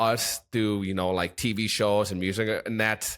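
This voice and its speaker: A man keeps a moderate pace as music plays behind him. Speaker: podcast co-host. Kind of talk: casual podcast conversation.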